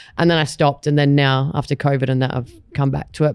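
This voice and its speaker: A woman talks at a fairly quick pace in an Australian accent. Her very deep, low voice stays monotone and flat. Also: quiet background. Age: 20s. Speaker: podcaster and tour company member. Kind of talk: casual chat.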